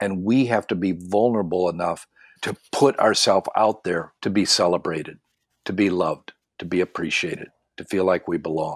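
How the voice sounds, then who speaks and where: With an American accent and an unremarkable speaking voice, a man talks at a moderate pace with ordinary pitch variation, the sound dry and close with no echo on a very clean recording with a silent background. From Tennessee, Michigan and northern Ontario. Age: 60s. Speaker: pastor and life coach. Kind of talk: interview.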